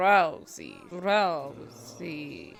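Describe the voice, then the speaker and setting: A woman puts on a character voice. It sits fairly low in pitch. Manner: theatrical, drawn out.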